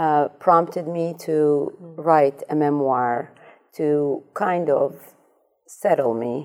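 Her pitch is very deep and low for a woman, and she speaks with a non-native accent. The woman's pace is very slow and her intonation fairly even. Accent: foreign-accented English. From Iraq, raised in Amsterdam. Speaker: dentist. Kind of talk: panel discussion.

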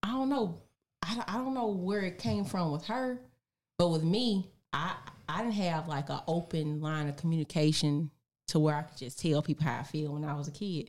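With a normal speaking voice, a woman talks at a moderate pace in a fairly low pitch, her intonation lively. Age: 30s. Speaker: guest, mother. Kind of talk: casual chat.

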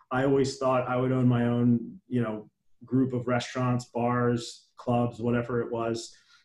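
The speaker has an ordinary speaking voice with an American accent. The pace is fairly slow. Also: man. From New Jersey, near Trenton. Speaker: business founder and CEO. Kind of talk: interview.

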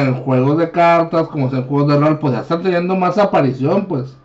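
In a Mexican accent, a man speaks at a fairly high pitch with ordinary pitch variation. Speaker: podcast host. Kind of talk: casual chat.

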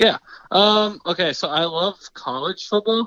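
With an American accent, a man talks at a fairly slow pace in a bright, sharp tone. The sound is dry and close, with no echo. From South Carolina. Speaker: fantasy football league member. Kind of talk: casual chat. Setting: phone call. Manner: halting.

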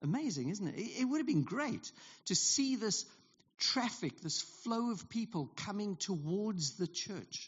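Speaking in a South African accent, a man uses a high pitch with very wide pitch swings at a fairly slow pace. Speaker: pastor. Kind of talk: sermon. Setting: church.

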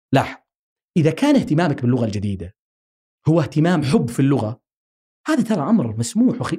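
The voice has a dark, mellow tone, somewhat breathy, with very wide pitch swings. The pace is moderate. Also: man. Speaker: linguistics researcher and academic. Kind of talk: interview conversation.

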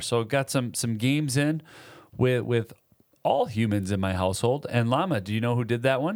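Delivered at a fairly quick pace with ordinary pitch variation, this is a plain, everyday voice. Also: man. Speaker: podcast co-host. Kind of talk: casual chat. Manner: joking.

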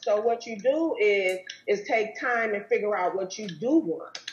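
With an American accent, a woman talks at a moderate pace in a fairly high pitch. Her pitch varies in an ordinary way, and there is noticeable background noise. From Wisconsin. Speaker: relationship therapist. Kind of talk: interview.

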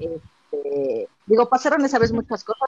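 A woman talks with a Mexico City accent. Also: dry, close sound with no echo. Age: 30s. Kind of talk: casual chat. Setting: online group call.

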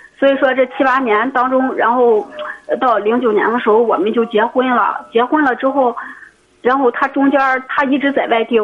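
A woman's high-pitched voice at a moderate pace, very even in loudness and fairly even in intonation, against noticeable background noise. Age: 20s. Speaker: caller. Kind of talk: call-in advice conversation. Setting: phone call. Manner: halting, repetitive.

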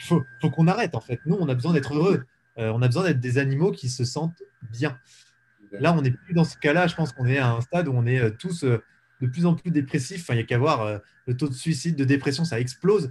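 A man with a fairly high pitch talks very fast, somewhat breathy, with ordinary pitch variation. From eastern France, Ain (Jura mountains). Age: 20s. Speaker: entrepreneur. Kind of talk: interview.

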